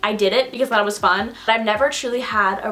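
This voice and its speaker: A woman with an American accent at a medium pitch, talking very fast over background music. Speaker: YouTuber. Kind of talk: casual chat.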